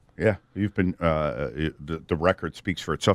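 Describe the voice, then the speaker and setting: Fairly quick and very deep, a man's voice with an American accent and vocal fry comes through dry and close with no echo. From Connecticut. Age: 50s. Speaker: radio host. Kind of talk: radio interview.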